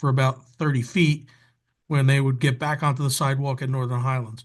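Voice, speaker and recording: Against a quiet background, a man speaks fairly quickly in a somewhat breathy, fairly high voice with flat, monotone intonation. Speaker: council member. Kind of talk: council meeting report. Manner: quiet, low-volume speaking.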